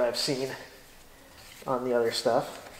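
Audible room echo and light background noise surround a man's voice. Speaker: tractor owner. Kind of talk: casual tutorial commentary. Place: garage. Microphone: camera far.

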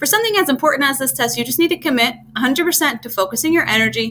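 A woman talking at a fairly quick pace over light background noise. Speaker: test prep tutor. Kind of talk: tutorial. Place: home room. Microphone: webcam.

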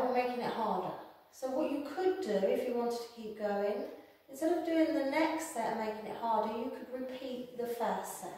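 Her voice is high-pitched, and the woman's speech carries strong room echo. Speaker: exercise instructor. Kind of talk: tutorial. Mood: calm, encouraging. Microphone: camera far.

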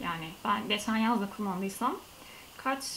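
There is light background noise behind a woman speaking at a fairly high pitch. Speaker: beauty vlogger. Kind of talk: casual vlog review. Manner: soft-spoken, not loud; hesitant, many fillers. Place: home room. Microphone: camera placed far away.

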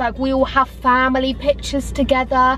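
A woman's voice comes through dry with no echo over light background noise. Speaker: vlogger. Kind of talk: casual vlog chat. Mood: cheerful, laughing. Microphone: camera far.

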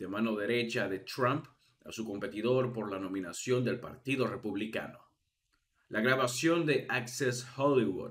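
This man talks fairly slowly. His voice carries audible room echo. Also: medium pitch for a man, ordinary pitch variation. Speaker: news channel host. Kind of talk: news reading. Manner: formal.

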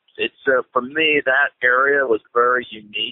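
A man at a very slow pace, dry sound with no echo, quiet background. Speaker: church planter. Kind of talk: interview answer. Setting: phone line. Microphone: phone line.

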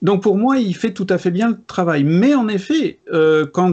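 A man's voice at a moderate pace with very wide pitch swings. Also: quiet background. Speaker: board game video creator. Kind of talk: casual debate. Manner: energetic. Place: home room.

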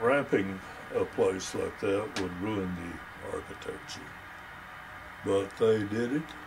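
Long, frequent pauses break up a man's very slow speech while noticeable background noise carries on. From Texas, Crosbyton. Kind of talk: interview answer. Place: home room.

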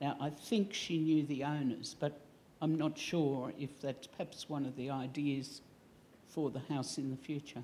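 In an Australian accent, a woman speaks at a fairly slow pace with a very deep, low pitch and a dark, mellow tone over light background noise. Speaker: audience member. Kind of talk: audience question. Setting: stage with audience. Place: hall. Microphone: headset.

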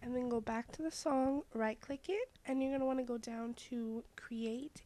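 A woman's high-pitched voice over music in the background. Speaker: tech tutorial presenter. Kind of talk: screen-recorded tutorial narration.

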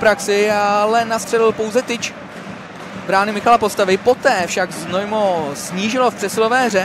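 A high-pitched man speaks at a moderate pace in a monotone, flat intonation. Noticeable background noise runs underneath. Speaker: sports commentator. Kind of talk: live-style sports commentary over match highlights.

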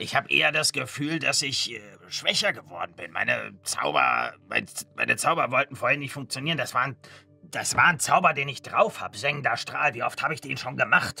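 At a moderate pace, a man performs a put-on character voice while faint music plays in the background. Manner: pedantic, slightly lecturing.

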